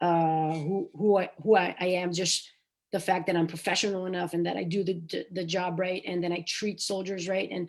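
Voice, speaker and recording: A woman's fairly low voice at a moderate pace, in a monotone, flat intonation. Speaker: naval officer. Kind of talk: panel discussion. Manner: loud; halting.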